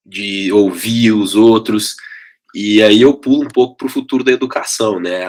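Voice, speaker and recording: A man speaks with a Minas Gerais accent. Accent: mineiro. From Minas Gerais, Brazil (Belo Horizonte). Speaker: education company CEO. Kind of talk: podcast interview.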